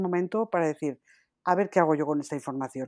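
A woman speaks in a dark, mellow tone. The very clean recording is dry and close, with no echo and a silent background. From Spain. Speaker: podcast co-host. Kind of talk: casual chat.

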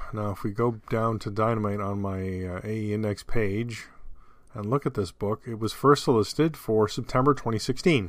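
A man with an unremarkable speaking voice and fairly low pitch talks at a moderate pace with ordinary pitch variation on a very clean recording with a silent background. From Canada. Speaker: podcast host. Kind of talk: solo podcast monologue. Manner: casual, with frequent fillers.

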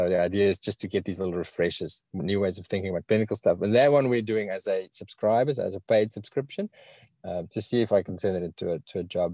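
A man with a strong South African accent talks at a very fast pace in a dark, mellow tone, fairly low in pitch with ordinary pitch variation. The recording is very clean, with a silent background and a dry, close sound with no echo. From South Africa, Bloemfontein. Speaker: veterinarian and podcast host. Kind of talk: interview. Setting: live video stream.

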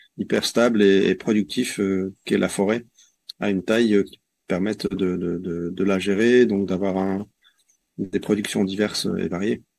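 On a very clean recording with a silent background, a man with a fairly low voice speaks very slowly and with fairly even intonation. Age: 40s. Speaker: forest garden association member, former engineer. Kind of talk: interview. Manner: hesitant, many fillers.

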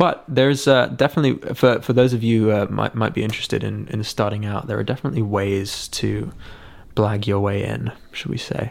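A southern English accent at a fairly quick pace, with ordinary pitch variation. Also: man, fairly low pitch for a man. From England, Sussex countryside. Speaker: musician and photographer. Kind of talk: casual chat. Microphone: camera shotgun mic on tripod close to face.

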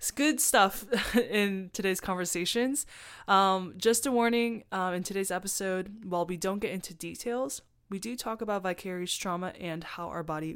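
Speaking at a moderate pace, this is a plain, everyday voice with ordinary pitch variation. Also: woman. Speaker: podcast host. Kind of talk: casual interview conversation.

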